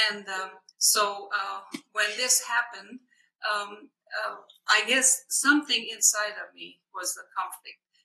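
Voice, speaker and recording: With a Hungarian accent, a woman with a fairly high pitch and a bright, sharp tone speaks at a fairly slow pace with vocal fry and ordinary pitch variation. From Hungary. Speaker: missionary and minister. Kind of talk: personal testimony in interview.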